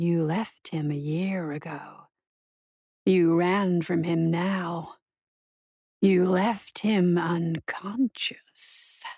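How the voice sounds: Using a put-on character voice, a woman speaks at a fairly low pitch and a very slow pace with fairly even intonation, a slightly mellow tone and a slightly husky edge, the sound dry and close with no echo.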